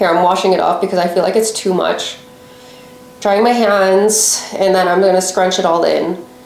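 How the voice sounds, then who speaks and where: A woman at a moderate pace over noticeable background noise. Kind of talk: casual talk to camera, hair-care vlog. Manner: mumbling at times.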